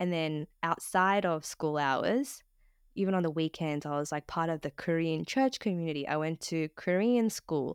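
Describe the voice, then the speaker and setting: A woman with an Australian accent at a fairly slow pace, with ordinary pitch variation, in a dry, close sound with no echo and a very clean recording with a silent background. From Australia, Sydney. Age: 30s. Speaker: podcast co-host, content professional. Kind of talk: casual interview chat.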